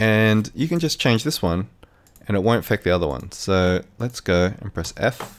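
With an Australian accent, a man speaks with lively intonation. The recording is very clean, the background silent. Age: 30s. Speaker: video editing tutor. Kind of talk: tutorial. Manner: casual, hesitant with fillers.

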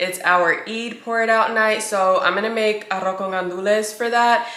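Audible room echo surrounds speech at a moderate pace. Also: woman. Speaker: lifestyle vlogger. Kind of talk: casual vlog chat. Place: kitchen. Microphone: camera far.

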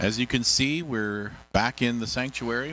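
A man's fairly low pitch with ordinary variation, dry sound with no echo, and light background noise. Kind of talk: church service address and scripture reading. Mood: warm, welcoming. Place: church. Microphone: handheld.

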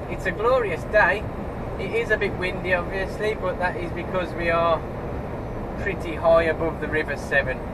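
Loud background noise surrounds a man speaking at a moderate pace. His pitch varies in an ordinary way. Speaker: truck driver vlogger. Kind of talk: casual vlog chat. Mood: cheerful, relaxed. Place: car.

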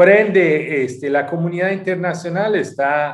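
The man's pace is fairly slow, with ordinary pitch variation. Behind him, things are quiet. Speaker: UN human rights official. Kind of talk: interview; interview answer. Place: home room. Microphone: video call.

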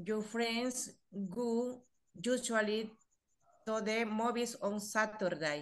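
In a Spanish accent, a woman talks at a very slow pace with long, frequent pauses. The background is quiet. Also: fairly high pitch for a woman, ordinary pitch variation. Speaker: English student. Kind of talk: reading exercise answers aloud. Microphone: video call.

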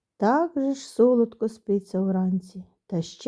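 The background is quiet as the text is read aloud in a natural voice.

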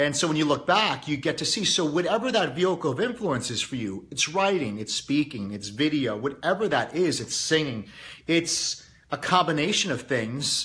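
This man speaks at a moderate pace with a fairly high pitch, a bright, sharp tone and very wide pitch swings. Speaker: YouTube host and motivational speaker. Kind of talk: casual daily monologue to audience.

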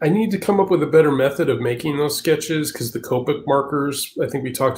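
A man with a fairly high pitch speaks with ordinary pitch variation and a somewhat breathy voice. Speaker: comic artist. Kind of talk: casual chat.

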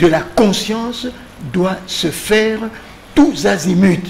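Talking at a very slow pace, a man uses a high pitch with ordinary pitch variation over light background noise. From DR Congo. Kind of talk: political panel discussion. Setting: TV studio. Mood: earnest, didactic. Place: studio. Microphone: studio mic.

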